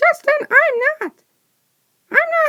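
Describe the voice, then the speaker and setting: Using a put-on character voice, a man speaks in a squeaky, extremely high pitch. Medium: solo performance.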